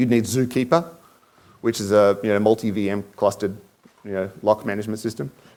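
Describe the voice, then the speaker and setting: A man speaks at a fairly quick pace. He has an Australian accent. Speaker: conference speaker. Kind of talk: conference talk. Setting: stage with audience. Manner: hesitant, many fillers.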